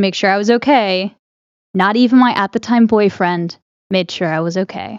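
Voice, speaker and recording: A woman talks in a normal speaking voice at medium pitch. Her pace is moderate, and the background is quiet. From Connecticut, moved south around age seven. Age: 20s. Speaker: podcast co-host and cosplayer. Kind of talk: casual chat.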